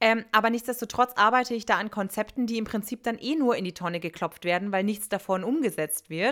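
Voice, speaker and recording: In a normal speaking voice, a woman talks fairly quickly at a fairly high pitch with hardly any pauses and ordinary pitch variation, on a very clean recording with a silent background. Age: 30s. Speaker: former teacher, podcast co-host. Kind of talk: casual chat.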